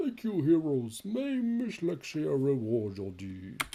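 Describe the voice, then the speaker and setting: This put-on character voice sits at a low-to-middle pitch and moves at a fairly slow pace. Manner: comedic voice acting.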